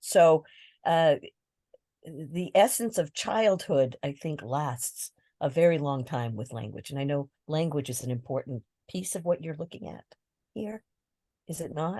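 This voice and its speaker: Speaking with a New England accent, a woman uses a very deep, low pitch and a dark, mellow tone, with lively intonation, big swings in loudness, a fairly slow pace and long, frequent pauses, in a dry, close recording with no echo. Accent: New England American. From Massachusetts, US (Southbridge, French-speaking Little Canada). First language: French. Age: 60s. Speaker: therapist. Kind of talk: interview. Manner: hesitant, many fillers.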